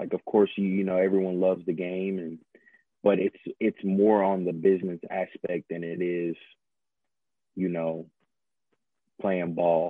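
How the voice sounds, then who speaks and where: A man with a Southern US accent speaks at a fairly slow pace in a very deep, low pitch and a monotone, flat intonation, leaving long, frequent pauses. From US South, Georgia (Harris County near Columbus). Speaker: former college quarterback. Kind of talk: interview.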